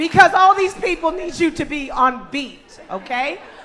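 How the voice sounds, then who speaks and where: The tone is animated. Noticeable background noise runs underneath. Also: woman. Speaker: school staff member. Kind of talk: event presentation. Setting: church, stage with audience.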